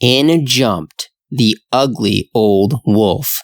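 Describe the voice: A quiet background behind plain reading aloud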